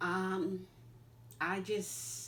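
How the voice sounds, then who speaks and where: There is audible room echo as a woman speaks with an American accent. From New York. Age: 60s. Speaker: interviewee, mother and grandmother. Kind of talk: interview.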